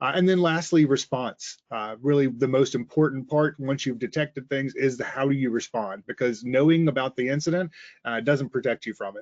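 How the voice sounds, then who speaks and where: The speaker is a man with a slight Southern US accent. His pitch is medium, with ordinary pitch variation. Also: fairly quick pace. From Mississippi, US South. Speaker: sales engineer. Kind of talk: webinar presentation. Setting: online webinar. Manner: frequent filler uhs.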